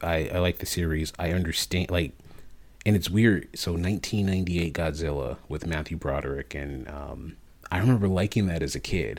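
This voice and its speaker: In a very clean recording with a silent background, a man with an American accent speaks in a very deep, low pitch with vocal fry and ordinary pitch variation. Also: moderate pace. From Chicago area, US. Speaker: podcast co-host. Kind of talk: casual chat.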